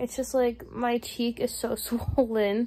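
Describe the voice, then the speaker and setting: This woman speaks at a very slow pace. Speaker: vlogger. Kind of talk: casual vlog chat. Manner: sleepy, low-energy, swollen-cheek speech. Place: home room. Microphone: phone near.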